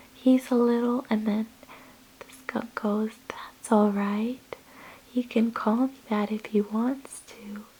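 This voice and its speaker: Over noticeable background noise, a soft-spoken woman with a fairly high pitch and relaxed tone speaks very slowly in a flat monotone, her loudness swinging widely. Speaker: ASMR creator. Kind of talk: casual talk to camera. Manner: soft-spoken, relaxed.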